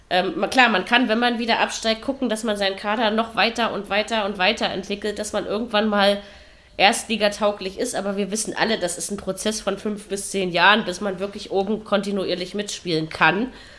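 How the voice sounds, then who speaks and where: A woman with a bright, sharp tone talks at a fairly quick pace with fairly even intonation. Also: medium pitch for a woman. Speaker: football podcast host. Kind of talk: casual chat. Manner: hesitant, many fillers.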